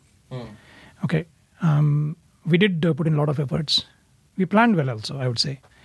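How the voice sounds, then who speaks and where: Lively intonation runs through this man's speech. He has an Indian accent. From India (Pune, near Mumbai). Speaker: immigrant parent. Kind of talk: casual family conversation.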